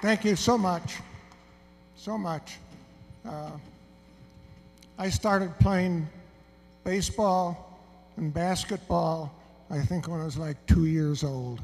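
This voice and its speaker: At a very slow pace, a man with a high pitch talks with long, frequent pauses. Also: ordinary pitch variation, big swings in loudness. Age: 70s. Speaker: emeritus professor, honoree. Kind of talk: award acceptance speech. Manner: halting.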